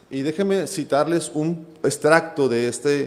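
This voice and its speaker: A man with a fairly high pitch speaks at a very slow pace, with audible room echo. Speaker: preacher. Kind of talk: sermon.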